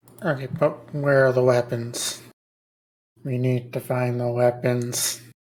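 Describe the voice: In a put-on, nasal character voice, the speaker talks at a fairly slow pace in a low-to-middle pitch.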